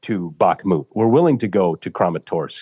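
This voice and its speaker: Very wide pitch swings from a fairly low-pitched man, dry and close with no echo, over a quiet background. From US Midwest, rural Minnesota. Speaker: war volunteer and military veteran. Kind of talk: interview.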